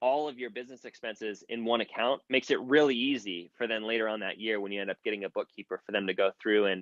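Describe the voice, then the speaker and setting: With a Mid-Atlantic US accent, a man talks at a very fast pace with fairly even intonation in a dry, close sound with no echo. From US, York Pennsylvania. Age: 30s. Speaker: content creator coach. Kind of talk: interview answer. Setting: online audio room. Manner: casual.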